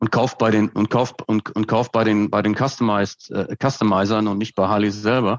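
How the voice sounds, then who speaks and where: A man with a fairly low pitch talks at a moderate pace with hardly any pauses, his intonation monotone and flat and his loudness very even, over a quiet background. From Westphalia, Germany (Hagen, edge of Ruhr area). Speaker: brand consultant and professor. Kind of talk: conversational interview.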